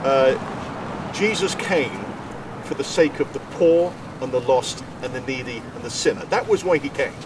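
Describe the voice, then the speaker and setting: Noticeable background noise accompanies a man with an English accent. He speaks at a fairly slow pace with a fairly high pitch and ordinary pitch variation. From England, Coventry. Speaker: Salvation Army minister. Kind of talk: casual interview.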